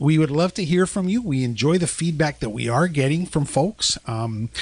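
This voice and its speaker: A man with a fairly high pitch makes very wide pitch swings against a quiet background. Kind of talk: podcast discussion on deliverance ministry. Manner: fast.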